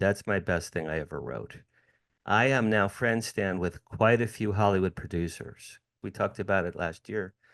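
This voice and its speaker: A man's ordinary speaking voice, fairly low in pitch, with ordinary pitch variation, a moderate pace and a quiet background. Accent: American. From US Northeast, New Jersey. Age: 60s. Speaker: entertainment publicist and author. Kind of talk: interview.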